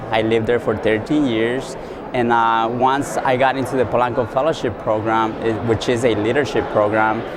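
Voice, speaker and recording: Over noticeable background noise and audible room echo, a man with an American accent speaks at a moderate pace in a medium pitch, with monotone, flat intonation and very even loudness. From Southern California. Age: young. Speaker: leadership fellow. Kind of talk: interview. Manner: hesitant, many fillers.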